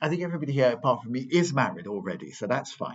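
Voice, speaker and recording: A man speaks very fast. His pitch is medium. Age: 60s. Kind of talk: parish talk with questions. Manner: hesitant, repetitive.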